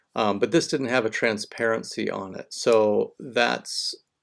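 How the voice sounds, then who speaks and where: This man's medium-pitched voice carries fairly even intonation in a very clean recording with a silent background. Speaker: design instructor. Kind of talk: recorded class critique. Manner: slow; halting, many fillers.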